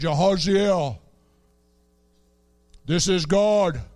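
A man puts on a character voice pitched high.

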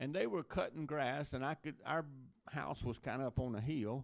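A man with an American accent and a plain, everyday voice, medium in pitch, at a moderate pace. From Louisiana, US South. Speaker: missionary preacher. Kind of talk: sermon. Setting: church.

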